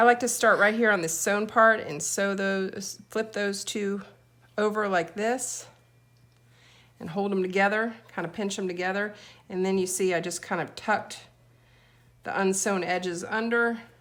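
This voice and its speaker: A woman speaks in an American accent at medium pitch and moderate pace. Her intonation stays fairly even, broken by long, frequent pauses. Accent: Southern US, comes and goes, sometimes heavy. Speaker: DIY video maker. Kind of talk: tutorial. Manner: casual, chatty.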